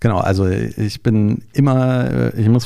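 Noticeable background noise sits behind a man whose pitch is fairly low. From Berlin, Germany. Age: 40s. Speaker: entrepreneur, travel deals platform founder. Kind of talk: interview. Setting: studio. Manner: hesitant with filler sounds.

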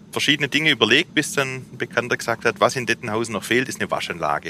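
A man with a slight Swabian accent talks at a very fast pace in a medium pitch, and the sound is dry and close with no echo. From Swabia, Remstal (southwest Germany). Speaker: company managing director. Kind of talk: explanatory on-site interview.

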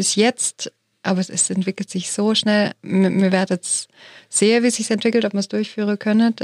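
A woman with an unremarkable speaking voice and a medium pitch speaks at a fairly quick pace with fairly even intonation, in a dry, close recording with no echo. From Germany. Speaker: theologian and foundation director. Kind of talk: panel discussion.

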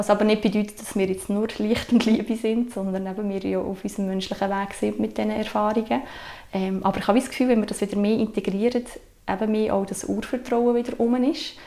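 Amid noticeable background noise, a woman with a fairly high pitch talks at a fairly quick pace with fairly even intonation. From Switzerland, Sursee region (canton Lucerne). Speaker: mother sharing natural parenting experience. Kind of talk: casual conversation.

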